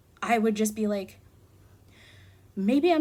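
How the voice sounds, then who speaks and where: A woman with an American accent speaks at a moderate pace with a fairly high pitch and ordinary pitch variation. Her voice is somewhat breathy, with a dark, mellow tone. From New Jersey. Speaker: book reviewer. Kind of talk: casual book review vlog. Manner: animated.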